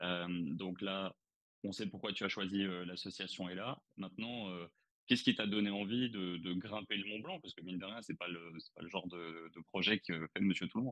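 A man speaks at a moderate pace in a very deep, low pitch with fairly even intonation, the sound dry and close with no echo. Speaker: watch channel host. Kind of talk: interview. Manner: hesitant.

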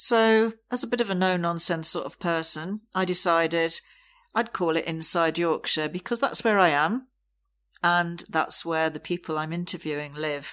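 A woman's fairly low voice at a moderate pace, with ordinary pitch variation, in a very clean recording over a silent background. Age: 60s. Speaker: podcast host. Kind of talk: solo monologue. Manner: hesitant with fillers.

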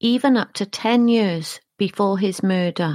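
A plain, everyday voice, a woman's, talks at a fairly slow pace in a fairly high pitch with ordinary pitch variation, recorded very clean over a silent background with a dry, close sound and no echo. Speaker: true crime podcast narrator. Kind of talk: true-crime narration. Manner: measured, sombre, steady; clear, formal, even-paced.

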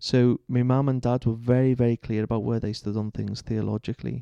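A man with a Liverpool accent has a dark, mellow tone at medium pitch and fairly even intonation, in a dry, close sound with no echo. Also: quiet background. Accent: Liverpool (Scouse). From Liverpool, England. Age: 30s. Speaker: Church of England vicar. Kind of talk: interview conversation. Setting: church.

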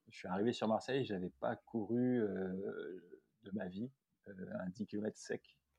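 A man's very slow delivery, dark and mellow in tone, with big swings in loudness and a dry, close sound with no echo. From France, Loire (Saint-Étienne area). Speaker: podiatrist and ultra-trail runner. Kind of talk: casual interview. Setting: remote call. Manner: hesitant, many fillers.

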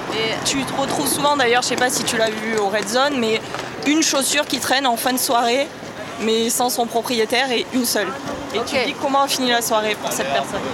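Amid noticeable background noise and audible room echo, a woman talks at a fairly quick pace in a high pitch, with fairly even intonation and very even loudness. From southern France, Avignon. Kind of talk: casual chat. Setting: outdoors.

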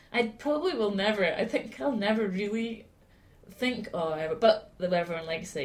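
A woman's somewhat breathy voice at a fairly quick pace, with lively intonation. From Scotland, Aberdeen. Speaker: singer-songwriter. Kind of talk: casual chat. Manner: halting.

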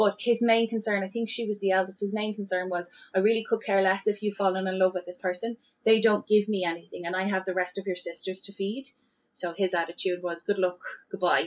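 A woman with a Dublin accent, medium pitch, fairly even intonation and a very fast pace. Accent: Dublin Irish. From Dublin, Ireland. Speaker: podcast host. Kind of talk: casual chat with storytelling.

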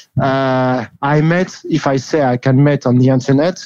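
Speaking with a French accent, a man uses medium pitch and ordinary pitch variation. His tone is dark and mellow. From France. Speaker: rugby league columnist. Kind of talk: interview. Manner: halting.

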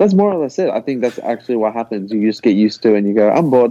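A man at a very fast pace, medium in pitch, with ordinary pitch variation. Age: 20s. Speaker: rock musician. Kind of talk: casual interview.

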